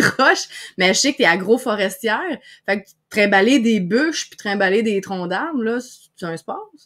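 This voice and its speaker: A woman with lively intonation speaks at a moderate pace in a quiet background. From Quebec. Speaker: podcast host and online broadcasting coach; podcast host, online broadcasting coach. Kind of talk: live-streamed interview. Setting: live stream video call. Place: home room. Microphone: webcam.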